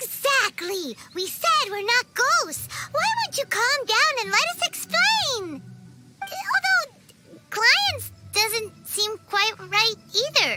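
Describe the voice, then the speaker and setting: A put-on character voice at an extremely high pitch and very slow pace, with faint music in the background. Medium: machinima. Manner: excitable.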